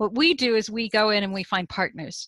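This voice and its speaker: A woman in an unremarkable speaking voice with an American accent, fairly high-pitched, with ordinary pitch variation at a fairly quick pace, in a dry, close sound with no echo and a quiet background. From United States. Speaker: charity CEO in tech diversity. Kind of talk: interview.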